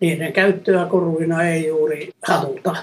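Very slow and flat in a monotone, a man speaks with a fairly high pitch. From Finland. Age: 80s+. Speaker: gemologist. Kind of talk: interview.

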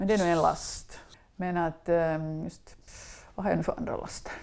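A woman's fairly low-pitched, unremarkable speaking voice, fairly slow, with fairly even intonation. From Finland, western Uusimaa (Swedish-speaking, Ekenäs area). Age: 60s. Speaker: food writer and former journalist. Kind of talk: interview, casual chat. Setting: home kitchen.

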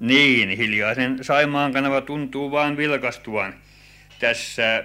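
The speaker is a man. His pace is very slow. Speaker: canal office manager. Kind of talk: interview answer, factual report. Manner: formal, matter-of-fact.

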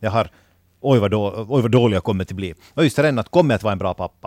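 A man with an unremarkable speaking voice talks at a medium pitch with ordinary pitch variation. The recording is very clean and dry, close, with no echo and a silent background. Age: 30s. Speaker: new father. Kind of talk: casual chat.

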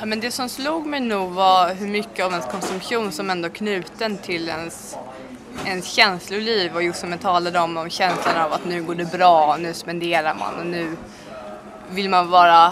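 With noticeable background noise and audible room echo, a woman of fairly low pitch speaks at a moderate pace. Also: ordinary pitch variation. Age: 20s. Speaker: student. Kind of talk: interview.

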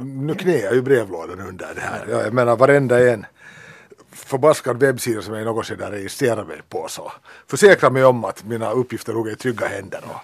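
Here is an ordinary speaking voice at a moderate pace, with ordinary pitch variation. Its loudness swings widely. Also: man, medium pitch for a man. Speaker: teacher. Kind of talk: casual chat.

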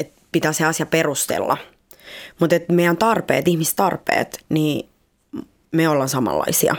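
Speaking with a Spanish accent, a woman uses a fairly low pitch, fairly even intonation and a fairly slow pace with long, frequent pauses. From Colombia, Cali; Finland from age 11. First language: Spanish (speaking Finnish). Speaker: guest. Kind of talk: casual chat. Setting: studio. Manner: outgoing, not introverted.

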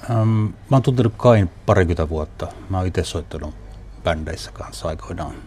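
With a very deep, low pitch, a man talks at a moderate pace with lively intonation. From Northern Finland, Northern Ostrobothnia. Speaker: documentary filmmaker. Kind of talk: interview.

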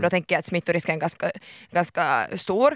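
In a dry, close recording that is very clean with no echo and a silent background, a woman of medium pitch speaks at a very fast pace in an animated tone. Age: 20s. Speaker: radio host. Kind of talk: casual chat. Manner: halting.

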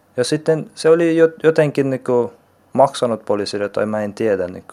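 This man talks at a fairly slow pace in a dark, mellow tone, with ordinary variation in pitch. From Afghanistan, raised partly in Iran. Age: 20s. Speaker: vocational student. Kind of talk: interview testimony. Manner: halting.

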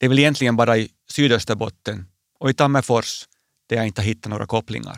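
A man at a medium pitch and a very fast pace with fairly even intonation, in a dry, close sound with no echo, on a very clean recording with a silent background. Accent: Finland-Swedish. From Finland, Swedish-speaking (Porvoo area). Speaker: bishop. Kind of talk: personal radio essay. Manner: calm, reflective.

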